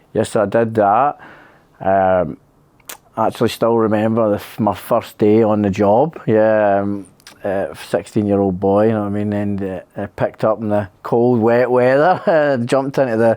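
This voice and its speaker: Here a man speaks at a moderate pace. His pitch is fairly low, with ordinary pitch variation. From Scotland, Kilsyth near Glasgow. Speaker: electrician, accident survivor. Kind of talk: interview. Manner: casual, hesitant with many fillers.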